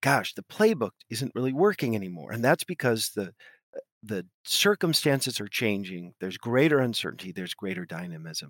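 In an American accent, a man of medium pitch speaks with very wide pitch swings in a dry, close sound with no echo. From US West Coast. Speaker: business school professor and author. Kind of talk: interview.

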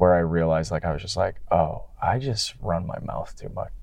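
With an American accent, a man speaks in a very deep, low pitch. His tone is dark and mellow against a quiet background. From greater Detroit area. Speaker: hardcore band musician. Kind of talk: casual interview chat. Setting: in a car. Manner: mild-mannered.

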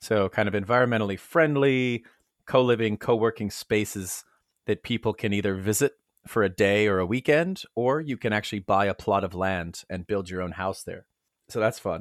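A man with a plain, everyday voice, fairly low in pitch, moderate pace and ordinary pitch variation, on a very clean recording with a silent background and a dry, close sound with no echo. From United States. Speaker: world traveler and apparel business founder. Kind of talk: casual interview chat.

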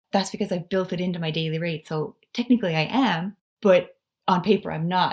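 Somewhat breathy, a woman with a Canadian accent speaks fairly quickly at a medium pitch with ordinary pitch variation. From Canada. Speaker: personal finance blogger. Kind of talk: interview.

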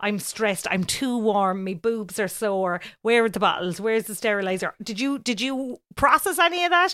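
In a Cork accent, a woman with a bright, sharp tone and fairly high pitch speaks at a moderate pace with lively intonation and hardly any pauses. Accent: Cork Irish. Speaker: podcast co-host, radio presenter. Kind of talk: casual chat. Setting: home bedroom recording.

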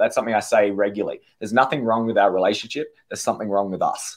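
A man with an Australian accent speaks at a very fast pace. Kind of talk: casual interview chat.

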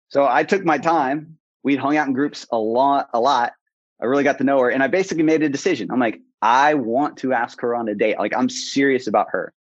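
A man with a fairly high pitch and ordinary pitch variation talks at a fairly quick pace in an unremarkable speaking voice. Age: 30s. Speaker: coach. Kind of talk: interview.

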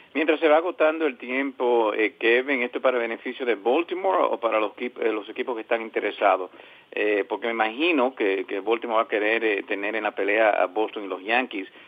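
Speaking fairly quickly at a medium pitch, a man has an ordinary speaking voice and ordinary pitch variation. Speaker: baseball podcast host and interviewer. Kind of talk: sports talk and interviews.

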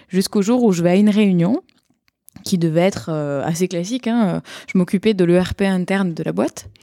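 A woman with a slight southern French accent speaks at a moderate pace and medium pitch, her dark, mellow tone showing ordinary pitch variation in a dry, close sound with no echo. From southern France, Montpellier. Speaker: software product manager, conference speaker. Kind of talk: casual chat.

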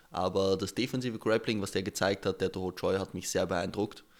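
A man talks at a fairly quick pace, his fairly low voice held in fairly even intonation. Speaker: podcast host. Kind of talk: casual chat.

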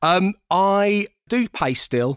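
On a very clean recording with a silent background, a man speaks with a London accent. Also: dry, close sound with no echo. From Southeast London. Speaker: radio DJ and TV presenter. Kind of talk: casual interview chat.

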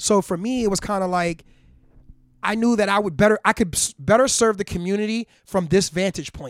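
A fairly quick voice in a New York accent, with a dry, close sound, no echo, and a very clean recording over a silent background. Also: man, high pitch for a man, ordinary pitch variation. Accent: New York City. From Harlem, New York City. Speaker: hip hop artist. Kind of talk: casual interview. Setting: home garage studio.

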